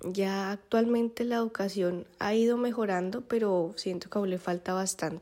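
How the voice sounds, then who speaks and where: Moderate pace and hardly any pauses from a woman of medium pitch, dark, mellow tone and fairly even intonation. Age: 20s. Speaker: young mother sharing her story. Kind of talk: personal testimony.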